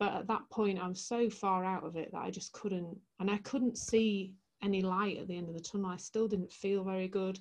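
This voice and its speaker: A woman with a Yorkshire accent speaks at a fairly quick pace in a medium pitch, her intonation flat and monotone. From West Yorkshire, Leeds. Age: 40s. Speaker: transformational coach. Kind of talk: interview storytelling.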